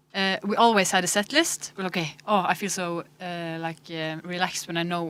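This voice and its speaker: A woman with a Norwegian accent speaks at a moderate pace. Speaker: musician. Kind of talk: casual chat.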